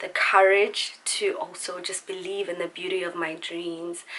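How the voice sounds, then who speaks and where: A woman at a medium pitch and fairly slow pace over noticeable background noise. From South Africa, Pretoria. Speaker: singer and vlogger. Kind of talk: casual chat. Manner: warm, relaxed.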